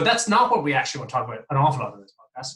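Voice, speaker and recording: A man's bright, sharp tone with an Irish accent. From Ireland (countryside). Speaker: podcast host, regulatory advisor. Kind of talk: podcast interview.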